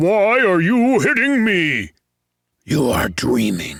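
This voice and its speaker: A man's growling put-on character voice, high in pitch, at a very slow pace. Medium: read story. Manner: gruff, quarrelsome.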